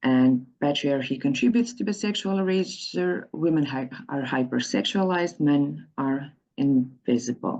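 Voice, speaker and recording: A woman speaks with a very deep, low pitch and a dark, mellow tone. Her pitch swings very widely at a moderate pace. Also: quiet background. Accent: non-native. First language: not English. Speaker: activist and researcher. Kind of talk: conference presentation. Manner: halting, with frequent repetitions.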